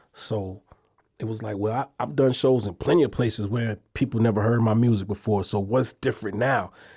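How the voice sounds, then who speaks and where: With an American accent, a man talks at a fairly quick pace in a somewhat breathy, dark, mellow tone. His pitch is medium, with ordinary variation. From Brooklyn, New York, then elsewhere from age 7. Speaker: podcast host and rapper. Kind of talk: solo casual podcast monologue.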